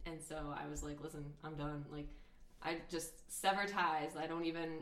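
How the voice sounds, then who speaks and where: A woman with a very deep, low pitch speaks at a moderate pace in a monotone, flat intonation. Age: 20s. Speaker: guest. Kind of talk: casual interview. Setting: basement at home. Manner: loud, sarcastic.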